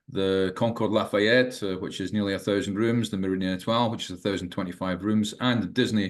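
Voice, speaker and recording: A man with a Scottish accent talks at a very fast pace, using a fairly low pitch and fairly even intonation. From Scotland. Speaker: management teacher and ex-hotel manager. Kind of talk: podcast interview. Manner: halting, many fillers and repetitions.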